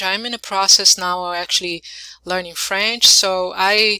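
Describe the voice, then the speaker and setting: A medium-pitched woman's voice, bright and sharp in tone, at a fairly slow pace. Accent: non-native. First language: not English. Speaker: YouTuber. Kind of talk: casual vlog. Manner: halting, many fillers.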